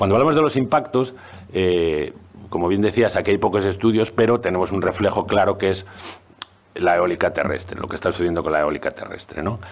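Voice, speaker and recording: A man with a fairly low pitch talks at a fairly quick pace with lively intonation. Noticeable background noise runs underneath. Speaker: zoology professor and researcher. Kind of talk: panel presentation. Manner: fast; hesitant, many fillers.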